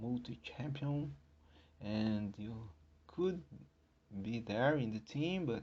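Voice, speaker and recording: A man with a non-native accent speaks at a fairly slow pace. His pitch swings very widely. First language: not English. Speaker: podcast host. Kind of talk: solo podcast talk. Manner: halting.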